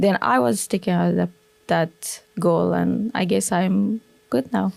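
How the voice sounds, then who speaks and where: Someone with an Afghan accent speaks at a very slow pace with very even loudness. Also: woman. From Afghanistan, Kabul. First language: Dari. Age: young. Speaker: former military interpreter, refugee. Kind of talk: interview. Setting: studio.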